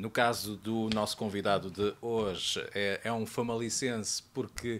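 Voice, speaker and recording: A man's fairly low voice, a plain, everyday voice, at a fairly slow pace with ordinary pitch variation. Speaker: TV interviewer. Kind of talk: interview host talk. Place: studio. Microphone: studio mic.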